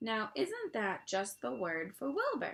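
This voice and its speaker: A woman puts on a character voice at a fairly high pitch. She speaks at a fairly slow pace. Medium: read story.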